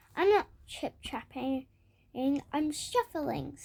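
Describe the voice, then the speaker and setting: A woman uses a put-on character voice, high in pitch, at a very slow pace. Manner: timid.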